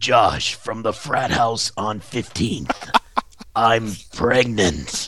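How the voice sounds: A man speaks in a put-on character voice at a medium pitch. It sounds raspy and moves at a very slow pace.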